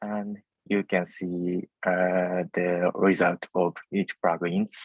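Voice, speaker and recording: A man with a non-native accent speaks at a very slow pace, his very deep, low pitch held in a monotone, flat intonation, with a dry, close sound with no echo. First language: not English. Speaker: software engineer. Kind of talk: technical presentation. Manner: halting, many fillers.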